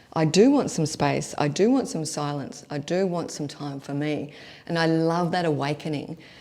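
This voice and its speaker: A woman's very deep, low voice with an Australian accent, a dark, mellow tone and ordinary pitch variation. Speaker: leadership coach. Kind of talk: online workshop. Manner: fast.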